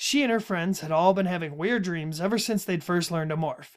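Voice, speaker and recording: A man with a Minnesotan accent speaks at a high pitch and a fairly quick pace, with ordinary pitch variation. The recording is very clean, the background silent. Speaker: podcast host. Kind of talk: casual chat about a book series.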